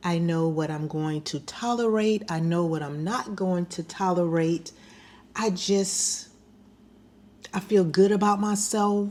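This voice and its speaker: In a normal speaking voice, the speaker goes at a fairly slow pace with ordinary pitch variation. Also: woman, medium pitch for a woman. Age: 60s. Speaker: lifestyle vlogger. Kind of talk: casual monologue. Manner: conversational.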